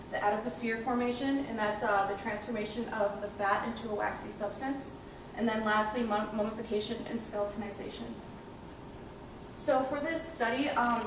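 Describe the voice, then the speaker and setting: Noticeable background noise and audible room echo surround a voice at a moderate pace with fairly even intonation. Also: woman. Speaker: presenter. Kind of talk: research presentation. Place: hall. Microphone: camera far.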